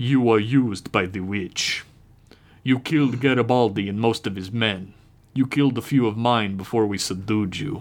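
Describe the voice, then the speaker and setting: Speech at a moderate pace comes through on a very clean recording with a silent background. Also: man, medium pitch for a man. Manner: menacing, clipped.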